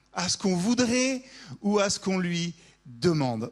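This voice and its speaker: Speaking at a fairly slow pace, a man with a high pitch makes very wide pitch swings. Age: 40s. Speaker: pastor. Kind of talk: sermon.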